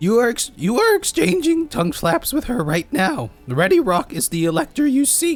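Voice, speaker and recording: A put-on character voice at a moderate pace, with very wide pitch swings and faint music in the background. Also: man, extremely high pitch for a man, hardly any pauses. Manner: rasping goblin voice.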